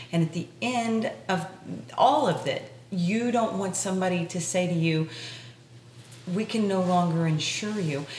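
Speaking at a fairly slow pace, a woman leaves long, frequent pauses and uses ordinary pitch variation. Light background noise and audible room echo are present. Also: medium pitch for a woman. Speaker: podcast co-host. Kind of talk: casual interview. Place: home room.

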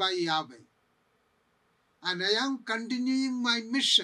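The background is quiet. A man uses a raised, projected voice at a fairly slow pace. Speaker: priest bible teacher. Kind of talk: lecture. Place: studio.

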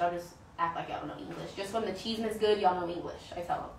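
Over audible room echo, a woman with an American accent speaks fast at a medium pitch with fairly even intonation.

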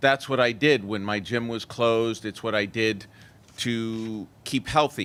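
A man with a New York accent, medium pitch, fairly even intonation and a fairly slow pace. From New York City, Manhattan. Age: 50s. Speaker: member of the public. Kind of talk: public comment testimony.

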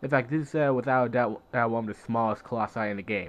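A man is talking at a medium pitch. His pitch variation is ordinary. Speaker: gaming video creator. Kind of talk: let's play commentary. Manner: halting, many fillers.

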